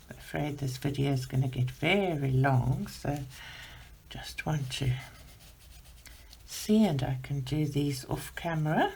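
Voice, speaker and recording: Soft-spoken, a woman talks at a fairly slow pace with long, frequent pauses. Audible room echo surrounds her voice. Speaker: art channel host, adult colouring. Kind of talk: colour-along tutorial. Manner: soft, voice fades while working.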